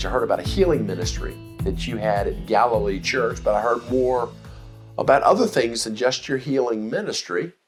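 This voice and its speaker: Background music can be heard. Over it, a man talks at a moderate speed. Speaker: podcast host. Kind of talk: podcast interview host.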